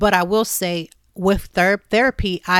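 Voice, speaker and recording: In a plain, everyday voice, a woman with an American accent speaks at a fairly low pitch and with fairly even intonation. The recording is very clean with a silent background, and the sound is dry and close with no echo. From US Midwest, Youngstown, Ohio. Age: 40s. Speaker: podcast host. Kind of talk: casual chat.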